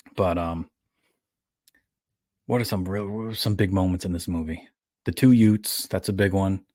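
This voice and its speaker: A man with an American accent speaks at a moderate pace with a fairly low pitch and a dark, mellow tone. His intonation is fairly even, broken by long, frequent pauses. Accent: New York accent, consciously toned down. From New York. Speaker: podcast host. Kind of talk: casual chat.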